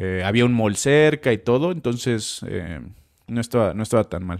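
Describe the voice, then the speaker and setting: A man with a Mexico City accent speaks with lively intonation. The recording is very clean, with a silent background. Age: 30s. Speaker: chef. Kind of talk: casual interview.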